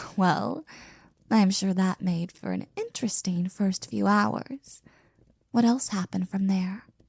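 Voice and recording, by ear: Doing a put-on character voice, a woman speaks slowly with lively intonation, vocal fry and a slightly husky edge, leaving long, frequent pauses in a dry, close sound with no echo.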